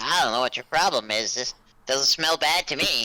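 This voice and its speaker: A put-on character voice, pitched low-to-middle, proceeds at a moderate pace. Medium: actual play. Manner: calm, plain-spoken.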